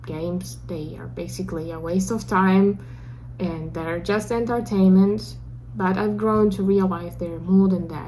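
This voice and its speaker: A woman speaks at a moderate pace with a Russian accent. The room echo is audible. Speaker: beginner game developer vlogger. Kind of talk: personal video diary.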